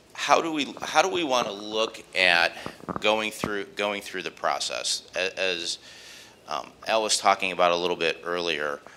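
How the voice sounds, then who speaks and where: Speaking fairly slowly with lively intonation, a man is heard over noticeable background noise. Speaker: bank executive speaking at conference. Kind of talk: conference presentation. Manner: loud; halting, many fillers and repetitions.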